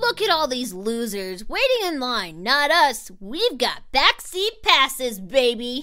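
A cartoonish character voice at a fairly slow pace, with very wide pitch swings. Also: woman, high pitch for a woman. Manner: upbeat, excitable.

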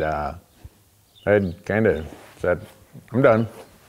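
At a fairly slow pace, a man speaks with a fairly low pitch. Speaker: outdoor show host. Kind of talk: interview answer. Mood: relaxed, amused. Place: garage. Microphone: lapel.

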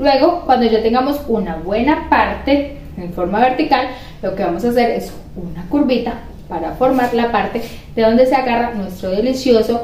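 A woman with a slightly mellow tone and fairly high pitch, lively intonation, a moderate pace, few pauses and audible room echo

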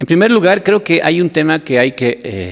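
Very wide pitch swings run through this man's voice. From Bolivia. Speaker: deputy minister and sociologist; deputy minister. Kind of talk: academic commentary. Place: hall. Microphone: podium.

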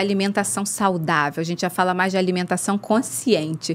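A woman with ordinary pitch variation, against light background noise. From Rio de Janeiro state, Brazil. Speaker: doctor, intensive care and nutrition specialist. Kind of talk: casual interview chat. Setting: studio. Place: studio. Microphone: studio mic.

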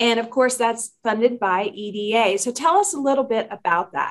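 Against a quiet background, a woman speaks in a fairly high, enthusiastic voice with ordinary pitch variation. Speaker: regional development public information officer and segment host. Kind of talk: talk show interview. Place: meeting room. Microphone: webcam.

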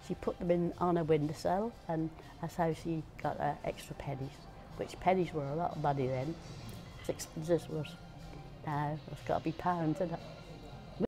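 A woman with a Norfolk accent speaks at a very deep, low pitch and a moderate pace, with fairly even intonation, long frequent pauses, and clear music in the background. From Great Yarmouth, Norfolk. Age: 80s+. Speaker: elderly local resident. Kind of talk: interview answer, reminiscing. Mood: fond, nostalgic. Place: cafe. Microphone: phone near.

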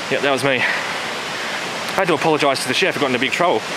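Loud background noise surrounds a man's voice, which has a dry sound with no echo. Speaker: hiker vlogger. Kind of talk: casual vlog chat. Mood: amused, storytelling. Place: forest. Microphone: phone near.

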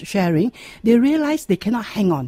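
A woman's voice swings very widely in pitch, recorded dry with no echo against a quiet background. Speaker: radio guest. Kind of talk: interview answer. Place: studio.

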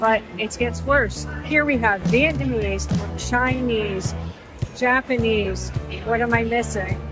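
Clear music plays behind a woman speaking at a very slow pace. The sound is dry, with no echo. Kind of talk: casual vlog chat. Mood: amused, chatty. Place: hall. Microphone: phone near.

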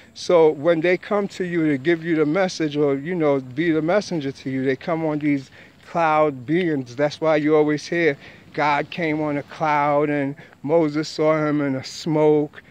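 At a fairly slow pace, a man with a fairly high pitch talks in a fairly even intonation, with a dry sound and no echo. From New York, the Bronx. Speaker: spiritual teacher vlogger. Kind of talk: monologue lecture. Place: street. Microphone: phone near.

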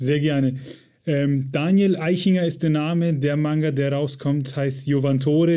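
In a dark, mellow tone, a man with a fairly high pitch speaks at a moderate pace with fairly even intonation. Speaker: podcast host. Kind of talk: interview.

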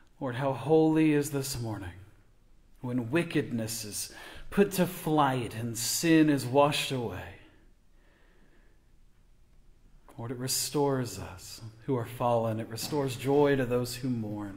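Against a quiet background, a man speaks somewhat breathily at a fairly slow pace, with ordinary pitch variation, big swings in loudness and long, frequent pauses. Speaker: pastor. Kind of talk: prayer then welcome remarks. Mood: solemn then warm. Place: church. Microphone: podium.

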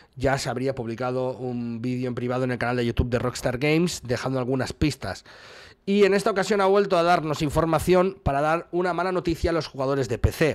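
A man talks at a fairly high pitch and a fairly quick pace, with lively intonation. The background is quiet. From Spain. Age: 40s. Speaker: gaming news streamer. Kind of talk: news commentary video. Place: home room. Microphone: studio mic.

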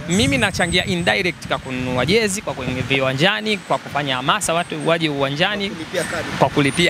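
Noticeable background noise surrounds a man speaking with a Tanzanian accent, the sound dry with no echo. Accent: Tanzanian Swahili. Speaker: football fan. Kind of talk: casual chat. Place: street. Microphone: handheld.

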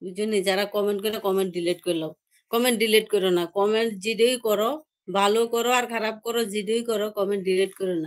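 Against a quiet background, a woman with a medium pitch and fairly even intonation talks in a plain, everyday voice. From Tripura, India (Amarpur); Tripura. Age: 60s. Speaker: live-streaming vlogger. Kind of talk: live stream chat reading viewer comments. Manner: repetitive, chatty. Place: home room. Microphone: phone near.

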